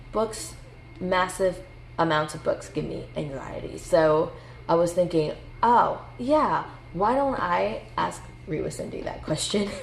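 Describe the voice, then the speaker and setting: A woman speaks at a fairly slow pace. Her voice carries audible room echo. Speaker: booktuber. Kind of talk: casual chat. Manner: halting.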